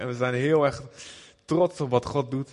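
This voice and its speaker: Fairly high in pitch, a man speaks in a plain, everyday voice. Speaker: visiting preacher, missionary. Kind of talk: sermon. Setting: church with audience.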